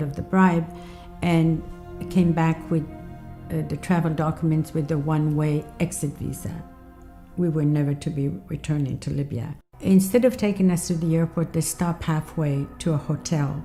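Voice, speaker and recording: Over music in the background, a woman with a very deep, low pitch speaks at a moderate pace with fairly even intonation. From Libya. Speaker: activist, refugee from Libya. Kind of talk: documentary interview answer.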